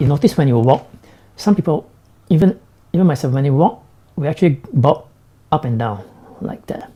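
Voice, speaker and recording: A man's dark, mellow, somewhat breathy voice at a fairly high pitch. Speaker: tech vlogger. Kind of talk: live stream product review. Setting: live stream. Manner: slow.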